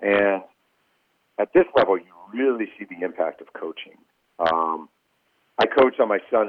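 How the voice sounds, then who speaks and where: At a moderate pace, a man speaks with lively intonation, long, frequent pauses and big swings in loudness. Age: 40s. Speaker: sports writer and author. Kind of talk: interview.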